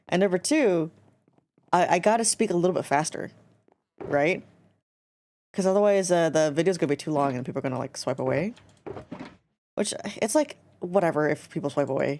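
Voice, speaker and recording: A woman's dark, mellow voice, mumbling at a fairly quick pace with lively intonation and long, frequent pauses. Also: fairly low pitch for a woman. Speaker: gaming streamer. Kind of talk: casual chat while gaming. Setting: live stream.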